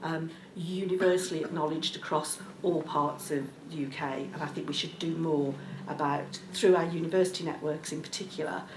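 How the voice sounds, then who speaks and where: A woman with a Birmingham accent and a very deep, low pitch, at a fairly quick pace with fairly even intonation, amid noticeable background noise and audible room echo. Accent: Birmingham (Brummie). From Birmingham, England. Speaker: local government executive, panel speaker. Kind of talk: panel discussion speech. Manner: hesitant, with frequent ums.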